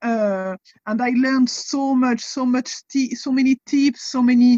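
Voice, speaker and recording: A fairly slow woman's voice, high-pitched, in a French accent, with dry, close sound and no echo. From France. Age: 40s. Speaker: convert guest, wellness and nutrition coach. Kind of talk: interview.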